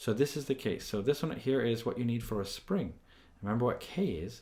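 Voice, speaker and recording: A man's lively intonation in a room with audible echo. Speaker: physics teacher. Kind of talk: lecture. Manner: fast.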